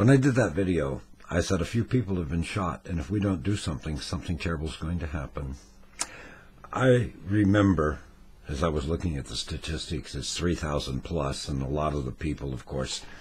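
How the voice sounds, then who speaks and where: Against noticeable background noise, a man with a very deep, low pitch talks fairly quickly with lively intonation. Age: 60s. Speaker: retiree. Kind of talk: casual talk to camera. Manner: wry, rambling.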